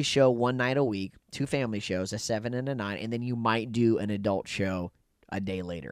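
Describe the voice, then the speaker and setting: Recorded very cleanly against a silent background, a man with an unremarkable speaking voice talks at medium pitch and a moderate pace. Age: 30s. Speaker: comedian. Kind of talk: casual chat. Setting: cruise ship cabin.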